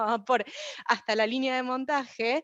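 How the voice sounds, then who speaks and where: A woman speaks in a high pitch with ordinary pitch variation. The sound is dry and close, with no echo. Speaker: researcher presenting a paper. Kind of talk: academic conference presentation. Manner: fast.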